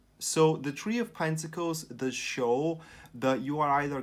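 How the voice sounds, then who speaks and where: Here a man speaks with a non-native accent. His pace is fairly slow. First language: not English. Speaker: tarot reader. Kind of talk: tarot reading monologue. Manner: halting.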